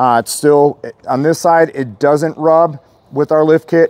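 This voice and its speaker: The sound is dry, with no echo. A man speaks at a moderate pace. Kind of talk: casual product walkaround. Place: street.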